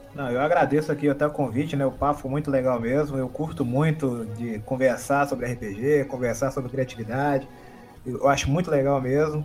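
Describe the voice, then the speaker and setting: A man with an unremarkable speaking voice speaks at a moderate pace with a fairly high pitch and fairly even intonation. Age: 30s. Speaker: game cover artist and RPG YouTuber. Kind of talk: casual chat.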